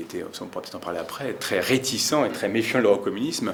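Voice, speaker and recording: A man speaks at a very fast pace in a medium pitch. Noticeable background noise runs underneath. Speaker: historian and author. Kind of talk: book talk. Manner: hesitant, many fillers.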